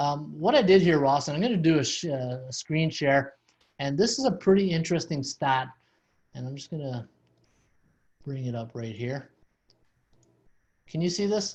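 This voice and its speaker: The voice moves at a moderate pace with lively intonation, somewhat breathy, its loudness swinging widely, with long, frequent pauses. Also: man, fairly high pitch for a man. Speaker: sports betting podcast host. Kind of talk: podcast discussion.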